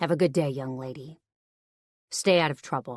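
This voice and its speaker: A gruff, put-on character voice at a low-to-middle pitch and moderate pace, on a very clean recording with a silent background. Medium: read story. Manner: calm but clipped, gruff.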